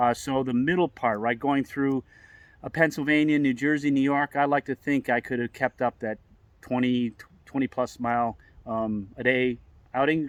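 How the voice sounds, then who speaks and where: In a normal speaking voice, a man at medium pitch talks at a moderate pace with fairly even intonation, the sound dry and close with no echo against a quiet background. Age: 60s. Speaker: long-distance hiker vlogger. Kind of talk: casual chat.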